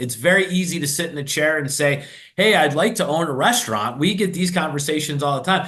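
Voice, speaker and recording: A man in a Chicago accent talks at a very fast pace with a fairly high pitch and ordinary pitch variation. His animated tone is bright and sharp, with audible room echo. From Chicago, US. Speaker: restaurant franchise executive. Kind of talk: podcast interview. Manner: fast, words blurred together.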